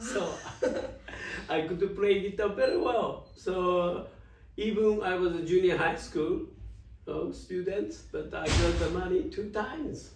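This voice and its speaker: Over noticeable background noise and audible room echo, a man talks at a fairly slow pace with long, frequent pauses. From Japan, Osaka. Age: 70s. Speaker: jazz journalist and photographer. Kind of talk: interview. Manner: halting; animated.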